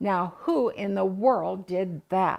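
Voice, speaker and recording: A woman's growling, put-on character voice at a medium pitch. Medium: read story.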